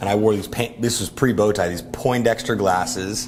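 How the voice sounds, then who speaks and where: An animated man's voice, fairly low in pitch, with ordinary pitch variation and a moderate pace, plus audible room echo and music in the background. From US, raised in Orlando and Miami. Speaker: entrepreneur and event emcee. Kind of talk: casual interview chat. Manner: animated, with many fillers.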